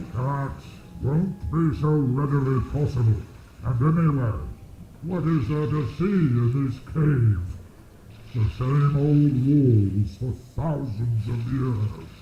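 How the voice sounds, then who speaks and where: Using a put-on character voice at a medium pitch, a man talks at a fairly slow pace with long, frequent pauses, slight echo and clear background noise. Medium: video game.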